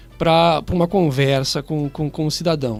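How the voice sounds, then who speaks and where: A man with a high pitch talks in a southern Brazilian accent at a moderate pace. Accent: gaúcho. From southern Brazil (Rio Grande do Sul). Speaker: public prosecutor. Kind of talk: radio interview, explaining the law. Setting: radio studio, live. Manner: formal.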